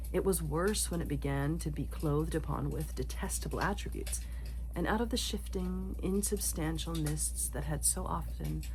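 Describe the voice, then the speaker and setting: A soft-spoken woman whispers at a moderate pace. Noticeable background noise sits behind her. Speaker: ASMR reader. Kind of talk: ASMR sleep-time book reading. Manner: soft-spoken, whispered.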